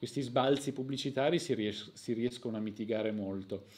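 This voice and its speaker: A man is speaking. His pace is moderate. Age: 40s. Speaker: YouTube history channel host. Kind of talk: live stream chat and storytelling. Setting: home live stream. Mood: relaxed, friendly. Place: home room. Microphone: new microphone being tested.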